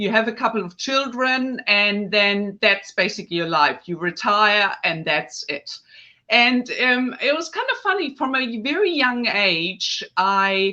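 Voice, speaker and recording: A woman with a German accent speaks at a fairly slow pace in a bright, sharp tone. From northern Germany. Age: 50s. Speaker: face yoga specialist. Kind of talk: podcast interview. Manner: hesitant, with fillers.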